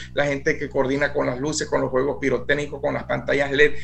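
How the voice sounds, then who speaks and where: Very fast speech amid audible room echo and noticeable background noise. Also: man. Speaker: director of a youth music band. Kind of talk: radio interview.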